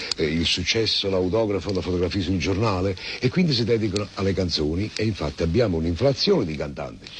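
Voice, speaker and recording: A man talks at a fairly quick pace in a very deep, low voice with a Neapolitan accent. Background noise is noticeable. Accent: Neapolitan Italian. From Naples. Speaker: actor. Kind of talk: interview answer.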